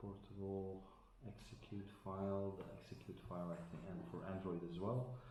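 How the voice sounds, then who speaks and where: With a Dutch accent, a man speaks at a moderate pace in a fairly low pitch, his intonation fairly even and audible room echo around him. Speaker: tech unboxing vlogger. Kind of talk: tutorial. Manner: halting, many fillers.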